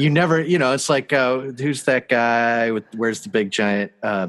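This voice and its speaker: With a plain, everyday voice, a man talks fairly slowly at a medium pitch and ordinary pitch variation. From Canada. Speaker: visual artist and filmmaker. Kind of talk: interview over video call. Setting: video call. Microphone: spotty Wi-Fi audio issues.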